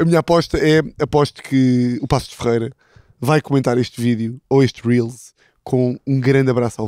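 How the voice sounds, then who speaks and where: A man speaks in a dark, mellow tone, with a dry sound that has no echo. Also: moderate pace, quiet background. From Portugal, interior. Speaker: football podcast host; podcast co-host. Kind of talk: casual chat. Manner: animated storytelling. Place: garden. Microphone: handheld.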